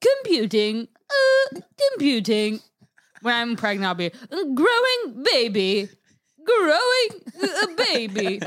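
Putting on a character voice, a woman with a high pitch speaks at a fairly slow pace with long, frequent pauses. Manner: robotic, monotone, repeating words.

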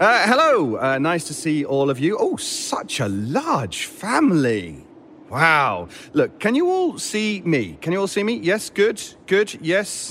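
Here a man performs a put-on character voice. His pitch swings very widely at a slow pace. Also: fairly high pitch for a man, fairly bright tone.

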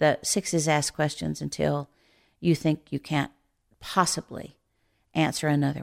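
A woman with a very deep, low pitch speaks at a moderate pace in a dry, close sound with no echo, on a very clean recording with a silent background. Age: 60s. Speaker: Enneagram teacher. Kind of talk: interview conversation.

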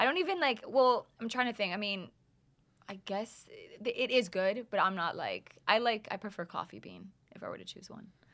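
In a Canadian accent, a woman talks at a fairly quick pace with a fairly high pitch and ordinary pitch variation. It is a normal speaking voice. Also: big swings in loudness. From Canada, Calgary. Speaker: music producer. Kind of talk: casual chat. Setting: studio.

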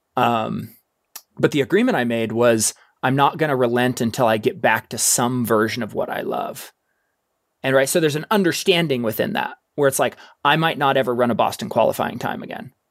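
With lively intonation and a fairly quick pace, a man of medium pitch talks in a normal speaking voice on a very clean recording with a silent background. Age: 30s. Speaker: ultrarunner and mountain adventurer. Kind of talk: casual interview.

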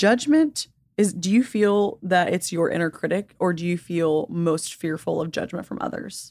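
Using a plain, everyday voice, a woman talks at a moderate pace with a fairly low pitch and ordinary pitch variation. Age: 20s. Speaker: intuitive / spiritual guide. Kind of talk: casual chat; guided meditation.

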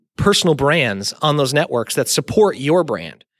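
Here a man talks at a moderate pace in a medium pitch. He has an ordinary speaking voice with lively intonation. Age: 30s. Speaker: content marketing creative director. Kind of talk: casual interview.

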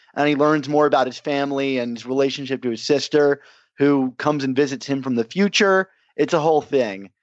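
A normal speaking voice from a man, fairly high-pitched, at a fairly quick pace with ordinary pitch variation. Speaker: entertainment writer and podcast host. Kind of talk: casual chat.

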